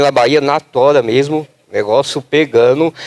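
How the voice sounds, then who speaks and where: A man's fairly high-pitched voice, dry and close with no echo. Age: 20s. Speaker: patient advocate. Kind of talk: panel discussion. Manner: animated.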